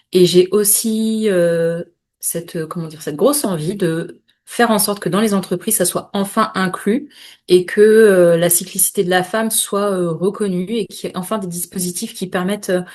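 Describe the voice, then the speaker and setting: A woman's medium-pitched voice at a moderate pace, with ordinary pitch variation and a quiet background. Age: 30s. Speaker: menstrual cycle and women's health specialist. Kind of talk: podcast interview. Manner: hesitant, many fillers.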